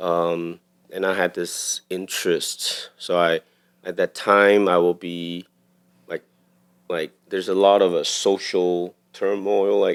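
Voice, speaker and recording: Speaking very slowly with a Taiwanese accent, a man has a very deep, low voice and monotone, flat intonation. The recording is very clean, dry, and close, with no echo and a silent background. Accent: Taiwanese Mandarin-accented English. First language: Mandarin Chinese. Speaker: cinematographer. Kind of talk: podcast interview. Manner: halting.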